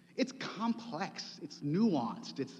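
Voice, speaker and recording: A man's voice with vocal fry. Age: 50s. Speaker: preacher. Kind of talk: sermon.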